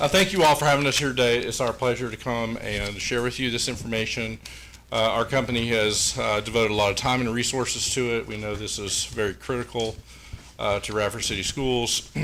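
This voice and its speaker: A man in an American accent talks fairly quickly while noticeable background noise runs underneath. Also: medium pitch for a man, ordinary pitch variation. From southwest Virginia, Pulaski County. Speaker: facilities consultant. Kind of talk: presentation. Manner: loud.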